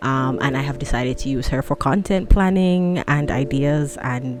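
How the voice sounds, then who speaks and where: A woman with a Jamaican accent, very deep and low in pitch, at a moderate pace with fairly even intonation. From London, England. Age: 20s. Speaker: podcaster and student. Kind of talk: casual solo podcast monologue.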